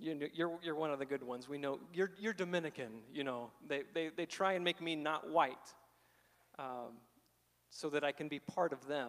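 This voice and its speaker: With a Midwestern American accent, a man speaks at a moderate pace. His pitch is fairly high and varies in an ordinary way. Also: quiet background. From southern Illinois, small town. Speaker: speaker. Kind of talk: testimony. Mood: reflective, candid. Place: church. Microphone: handheld.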